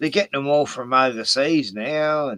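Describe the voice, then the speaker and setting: This is a man speaking. He has an Australian accent. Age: 60s. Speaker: YouTuber. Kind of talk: casual chat.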